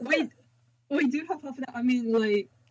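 Pitched high, a woman's voice varies in pitch in an ordinary way. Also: moderate pace.

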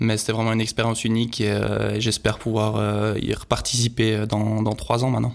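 A man's fairly low voice at a moderate pace, with very even loudness and monotone, flat intonation. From Switzerland. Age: 30s. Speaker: professional skicross athlete. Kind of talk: interview. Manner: halting, many fillers and repetitions.

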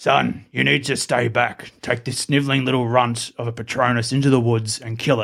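In a put-on character voice, a man sounds gravelly and croaky at a medium pitch. His monotone, flat delivery keeps a moderate pace with hardly any pauses.

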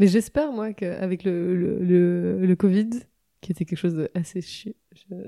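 A woman with a medium-pitched, dark and mellow voice talks fairly slowly with ordinary pitch variation, her loudness swinging widely in a dry, close recording with no echo. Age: 20s. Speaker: singer-songwriter. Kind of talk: casual interview chat. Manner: halting, many repetitions.

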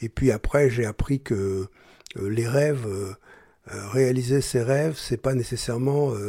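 A man's dark, mellow, somewhat breathy voice at medium pitch, with fairly even intonation and a very slow pace, in a very clean recording with a silent background. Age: 70s. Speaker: journalist and writer. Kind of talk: personal testimony.

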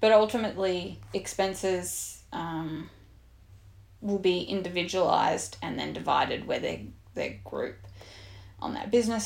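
A woman with an Australian accent speaks at a fairly slow pace with audible room echo. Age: 30s. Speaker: podcast host, fitness coach. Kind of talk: casual chat.

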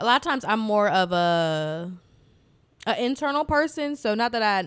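At a moderate pace, a woman speaks in an ordinary speaking voice with a fairly high pitch. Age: 20s. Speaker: podcast co-host. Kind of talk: casual chat.

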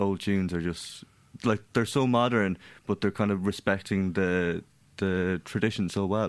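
In a very clean recording with a silent background, a man speaks with a west of Ireland accent. His pitch is fairly low, with ordinary pitch variation. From Ireland, County Mayo (Castlebar). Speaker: musician and record label founder. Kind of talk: radio interview.

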